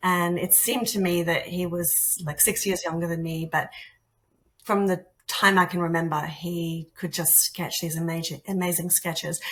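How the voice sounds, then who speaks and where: The voice carries an Australian accent and fairly even intonation. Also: woman, fairly low pitch for a woman, moderate pace. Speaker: artist and art teacher. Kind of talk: interview conversation.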